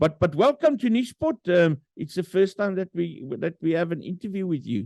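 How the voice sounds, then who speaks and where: With a South African accent, a man speaks at a moderate pace in a high pitch, his tone dark and mellow and his intonation lively. The sound is dry and close, with no echo. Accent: Afrikaans-accented English. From South Africa, Free State. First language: Afrikaans. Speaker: podcast host. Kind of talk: interview. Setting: virtual studio. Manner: halting, many fillers.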